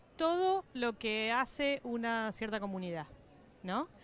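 A woman speaks at a very slow pace, her pitch swinging very widely. The sound is dry, with no echo. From Patagonia, Argentina; Argentina. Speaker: political scientist and professor; interviewee. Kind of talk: interview. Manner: halting, frequent fillers and repetitions. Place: hall. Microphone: handheld.

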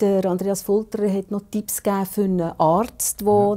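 A woman at medium pitch speaks at a fairly slow pace in a dark, mellow tone with monotone, flat intonation, against a quiet background. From Switzerland. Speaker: TV talk show host. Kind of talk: interview. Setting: studio. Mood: warm, conversational. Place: studio. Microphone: lapel.

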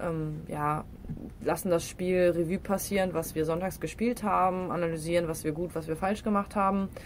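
A woman with an unremarkable speaking voice, fairly low pitch, fairly even intonation and a moderate pace. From Rhineland, Düren (western Germany). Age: 20s. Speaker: professional football player. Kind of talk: casual interview.

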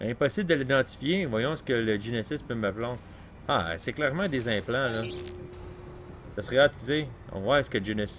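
A man speaks at a moderate pace with long, frequent pauses. Light background noise is present. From Quebec. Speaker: gaming youtuber; gamer. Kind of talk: let's play commentary. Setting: home recording with console near mic. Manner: casual, hesitant with many fillers.

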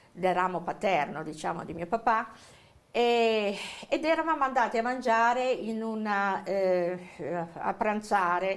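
A woman speaks at a fairly slow pace with lively intonation. She takes long, frequent pauses. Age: 60s. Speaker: witness, victim's relative; interviewee, witness. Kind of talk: interview testimony. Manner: halting, many fillers. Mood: reflective, recalling family tragedy. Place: studio.

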